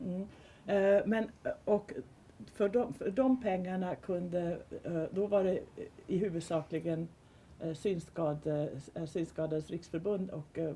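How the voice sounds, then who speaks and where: A woman with a Swedish accent speaks at a fairly slow pace, leaving long, frequent pauses. Her medium-pitched voice is somewhat breathy, with a dark, mellow tone and ordinary pitch variation. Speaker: panel speaker on audio description. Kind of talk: panel discussion. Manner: halting.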